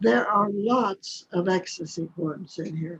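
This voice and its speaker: A woman's medium-pitched voice with an American accent. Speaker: poet and author. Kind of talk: poetry reading within interview.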